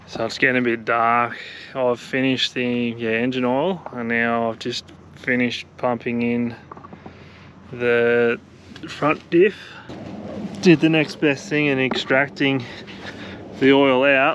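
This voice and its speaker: Over noticeable background noise, a man with an Australian accent talks at a fairly slow pace and medium pitch, using ordinary pitch variation and long, frequent pauses. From Australia, country Victoria. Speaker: travel vlogger. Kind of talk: casual vlog narration. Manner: casual, hesitant with fillers; quiet.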